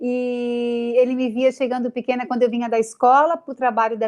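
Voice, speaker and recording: A woman's high-pitched voice at a moderate pace. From Brazil, Florianópolis, Santa Catarina. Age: 40s. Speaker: TV news presenter. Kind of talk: interview.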